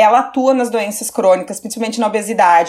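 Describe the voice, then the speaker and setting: Talking with an unremarkable speaking voice, a woman keeps a fairly high pitch and normal pitch variation. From southern Brazil, Caxias do Sul (Rio Grande do Sul). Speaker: nutrition professor. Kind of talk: interview, academic explanation.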